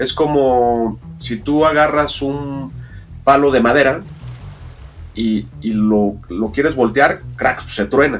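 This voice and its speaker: This man has a medium pitch and ordinary pitch variation. He speaks at a very slow pace. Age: 50s. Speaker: diver and documentary filmmaker. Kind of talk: interview. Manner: halting.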